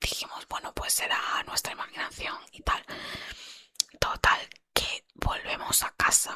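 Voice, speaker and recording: A whispering woman at a fairly slow pace. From southern Andalusia, Spain. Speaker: ASMR channel host. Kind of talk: ASMR whispered paranormal storytelling. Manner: soft, whispered, chatty.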